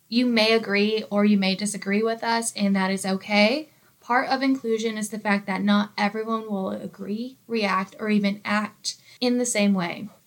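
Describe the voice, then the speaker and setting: A woman with an American accent, fairly high-pitched, flat and monotone, at a moderate pace. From United States, small town. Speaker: workplace podcast co-host, employee engagement coordinator. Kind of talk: scripted educational podcast.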